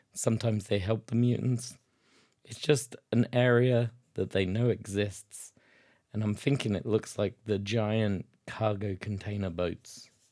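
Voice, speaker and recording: A man's fairly low, dark and mellow voice in a British accent, at a fairly slow pace. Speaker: tabletop wargaming youtuber. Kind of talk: casual tutorial while sketching.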